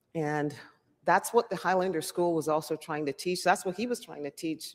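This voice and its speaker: The speaker has a slight Jamaican accent. The pace is moderate. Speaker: public hearing speaker. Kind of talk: public testimony.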